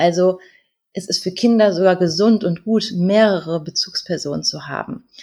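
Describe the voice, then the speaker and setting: A woman's somewhat breathy voice, medium in pitch with a dark, mellow tone, at a fairly slow pace with fairly even intonation. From North Rhine-Westphalia, Germany. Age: 30s. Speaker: educator and life coach, single mother. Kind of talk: interview.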